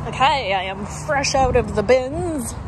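There is noticeable background noise. The sound is dry, with no echo. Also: woman. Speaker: reseller vlogger. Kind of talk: casual vlog chat. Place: shop. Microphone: phone near.

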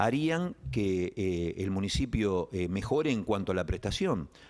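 The man's pitch swings very widely against a quiet background. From Argentina. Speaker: local politician. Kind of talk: political interview. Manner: halting, many fillers. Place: studio. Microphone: studio mic.

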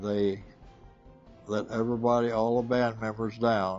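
A man's fairly even intonation over faint music in the background. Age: 80s+. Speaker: former prisoner. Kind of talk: interview answer. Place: shop.

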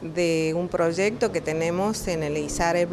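Light background noise sits behind a woman. She speaks at a very slow pace. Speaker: teacher-training event organizer. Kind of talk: interview answer. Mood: pleased, calm. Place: hall. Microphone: handheld.

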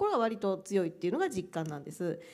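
With a quiet background, the woman's pitch swings very widely as she speaks. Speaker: university administrator; panelist. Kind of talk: panel discussion. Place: hall. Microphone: handheld.

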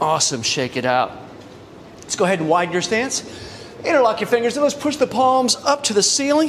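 A man talks at a fairly quick pace. Light background noise is audible. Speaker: fitness instructor. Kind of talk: tutorial. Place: gym.

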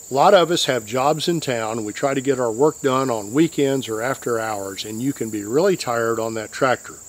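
A man talks at a moderate pace with ordinary pitch variation. The sound is dry with no echo. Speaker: tractor owner giving safety advice. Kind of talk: tutorial. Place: open country.

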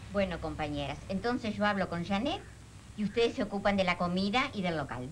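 Light background noise sits behind a woman at a medium pitch. She talks at a fairly quick pace with lively intonation. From Uruguay. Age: 60s. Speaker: political activist. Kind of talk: meeting. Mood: serious, concerned. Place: home room.

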